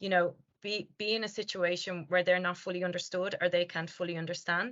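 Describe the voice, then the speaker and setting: Here is a woman with an Irish accent at a medium pitch. Her intonation stays fairly even at a moderate pace. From Ireland. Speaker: language company founder and presenter. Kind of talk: webinar Q&A answer. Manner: hesitant, many fillers.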